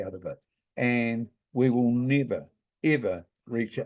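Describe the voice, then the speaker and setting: A man with a New Zealand accent has a dark, mellow tone. The background is quiet. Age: 70s. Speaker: hemp grower and commentator. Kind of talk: informal talk presentation. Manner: casual, hesitant.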